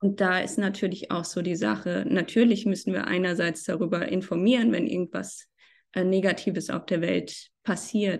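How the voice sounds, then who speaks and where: A woman's medium-pitched voice with vocal fry, ordinary pitch variation and a moderate pace. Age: 30s. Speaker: freelance journalist. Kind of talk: podcast interview.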